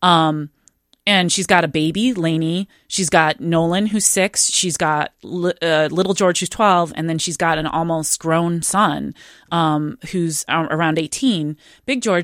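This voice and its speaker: Fairly slow, fairly low speech from a woman with ordinary pitch variation, in a dry, close sound with no echo and a very clean recording with a silent background. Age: 40s. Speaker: novelist. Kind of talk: interview. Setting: studio. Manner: hesitant, many fillers.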